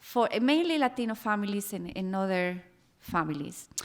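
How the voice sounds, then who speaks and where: A woman's medium-pitched voice in a Costa Rican accent, lively in intonation at a moderate pace, in a very clean recording with a silent background. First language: Spanish. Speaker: former family psychotherapist, panelist. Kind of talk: panel talk, personal testimony. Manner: hesitant, with fillers and repetitions.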